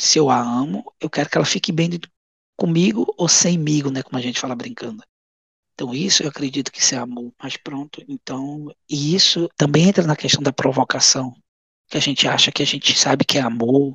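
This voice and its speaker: This man has an ordinary speaking voice, a fairly high pitch, and ordinary pitch variation, talking at a moderate pace in a dry, close sound with no echo. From Goiás, Brazil. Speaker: elderly caregiver and former social project founder. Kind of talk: interview.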